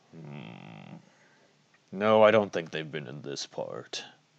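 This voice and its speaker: Putting on a character voice, a man speaks slowly-ish in a raspy, very deep, low pitch at a fairly slow pace. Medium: actual play. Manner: measured, pensive.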